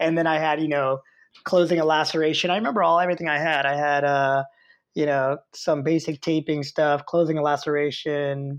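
A man's fairly high voice, a normal speaking voice with fairly even intonation, against a quiet background. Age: 50s. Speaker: athletic trainer and educator. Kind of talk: interview.

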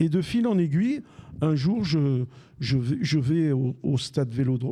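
At a fairly slow pace, a man speaks with a fairly high pitch, a dark, mellow tone and a somewhat breathy voice. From Algeria, raised in Besançon. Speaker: retired football radio commentator. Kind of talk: casual interview before live audience. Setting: live recording with audience.

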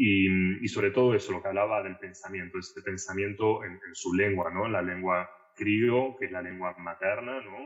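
This man speaks in a fairly low pitch with fairly even intonation and big swings in loudness. His pace is moderate, with hardly any pauses. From Argentina. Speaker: translator and literature scholar. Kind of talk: podcast interview.

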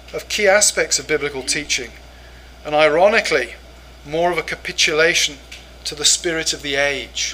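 A man with an English accent at a moderate pace, over noticeable background noise. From England. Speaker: professor and pastor. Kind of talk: lecture. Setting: church conference with audience.

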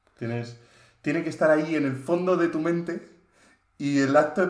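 A man talks at a fairly high pitch and a moderate pace. His intonation stays fairly even, and room echo is audible. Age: 20s. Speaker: software engineering student and data engineer. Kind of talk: casual chat.

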